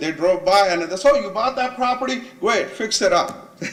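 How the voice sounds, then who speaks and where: A man with a non-native accent talks over noticeable background noise. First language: not English. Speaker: property owner, small business owner. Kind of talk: public hearing testimony.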